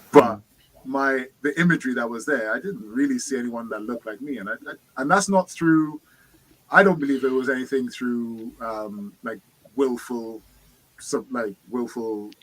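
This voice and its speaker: A man with a London accent speaks at moderate pace and medium pitch, with ordinary pitch variation and big swings in loudness. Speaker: participant in online discussion group. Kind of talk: casual group discussion.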